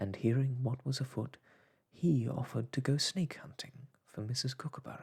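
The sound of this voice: An unforced voice reading, with pitch that varies in an ordinary way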